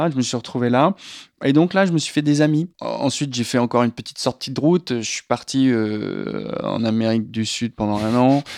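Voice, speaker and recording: A man talks at a medium pitch and a moderate pace with ordinary pitch variation, in a normal speaking voice. The sound is dry and close with no echo, on a very clean recording with a silent background. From western France, La Rochelle. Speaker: screenwriter and film director. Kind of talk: casual interview.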